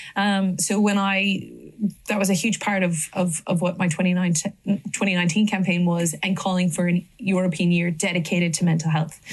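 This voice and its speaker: A woman's medium-pitched, somewhat breathy voice, fairly quick and monotone, with very even loudness. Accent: Irish. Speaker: politician. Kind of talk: panel discussion. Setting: stage with audience. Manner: halting.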